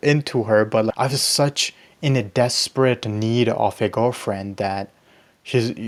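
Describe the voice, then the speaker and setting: This is a man's voice. He has a slight Pakistani accent. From Pakistani background. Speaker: YouTuber, self-improvement. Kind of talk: casual vlog monologue.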